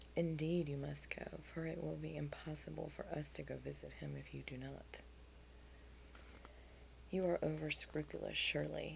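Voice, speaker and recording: A soft-spoken woman whispers in a soothing tone at a moderate pace. She leaves long, frequent pauses. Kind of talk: soft audiobook-style reading with dialogue. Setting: headphone-oriented recording with light tapping and scratching on a book cover. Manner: soft, soothing, whispery.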